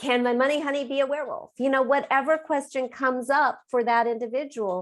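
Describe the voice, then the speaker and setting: Speaking at a fairly quick pace in a Californian accent, a woman with a high voice sounds animated on a very clean recording with a silent background. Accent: General American, Californian. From US West Coast, Los Angeles. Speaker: author and business coach. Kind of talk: interview.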